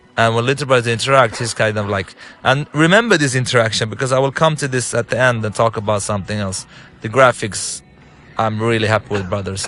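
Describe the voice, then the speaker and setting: With music in the background, a man with an Arabic accent speaks at a very fast pace in a medium pitch with ordinary pitch variation. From Lebanon. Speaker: game director and filmmaker. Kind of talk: gameplay commentary. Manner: halting, many fillers and restarts.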